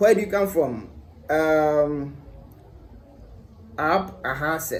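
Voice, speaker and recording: A man with a Ghanaian accent, fairly high-pitched, very slow, with ordinary pitch variation and audible room echo. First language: Twi. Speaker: language-learning YouTuber. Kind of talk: casual vlog tutorial.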